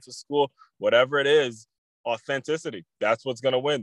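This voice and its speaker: An energetic voice moves at a moderate pace, the sound dry and close with no echo. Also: man. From Maryland. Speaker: podcast host, former college basketball player. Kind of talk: interview, motivational podcast talk. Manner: energetic, repetitive emphatic.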